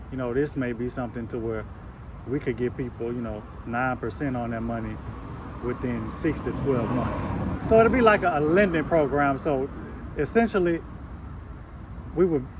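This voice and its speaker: There are long, frequent pauses as a man speaks over noticeable background noise. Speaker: real estate investor. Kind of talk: casual conversation with a seller. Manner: fast.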